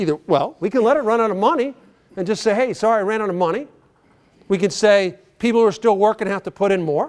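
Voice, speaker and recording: Speaking very fast with an American accent, a man uses a high pitch and an animated tone. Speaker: banking executive and conference speaker. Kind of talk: conference keynote speech.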